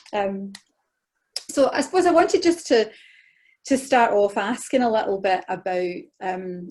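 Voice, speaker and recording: In a Scottish accent, a woman speaks at a moderate pace with long, frequent pauses. Her fairly high voice swings very widely in pitch. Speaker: interviewer. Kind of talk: interview. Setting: video call.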